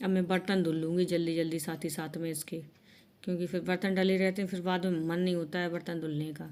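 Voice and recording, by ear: At a fast pace, a woman with a fairly low pitch and a slightly mellow tone speaks with little pitch movement.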